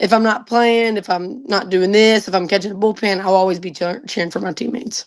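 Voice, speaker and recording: Speaking at a fairly quick pace with an American accent, a woman keeps a medium pitch and fairly even intonation. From north Louisiana (Choudrant). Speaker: college softball player. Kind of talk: podcast interview.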